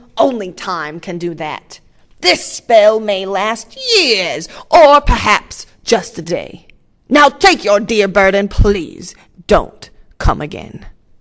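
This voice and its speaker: A growling put-on character voice at a fairly high pitch and very slow pace. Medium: read story. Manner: theatrical, booming.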